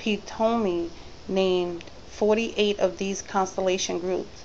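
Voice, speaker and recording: A woman's medium-pitched voice at a fairly slow pace, with fairly even intonation. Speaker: student reading a science workbook. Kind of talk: reading aloud. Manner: halting.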